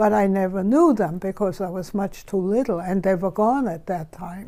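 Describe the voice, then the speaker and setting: A woman's medium-pitched voice with a dark, mellow tone, in a German accent, at a moderate pace with ordinary pitch variation. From Germany. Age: 90s. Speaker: Holocaust survivor. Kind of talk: interview.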